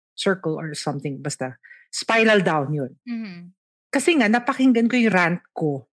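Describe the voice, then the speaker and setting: Her voice sits at a medium pitch but makes very wide pitch swings, moving at a moderate pace. The recording is very clean, with a silent background. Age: 50s. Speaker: doctor and self-care advocate. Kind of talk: casual interview in Taglish.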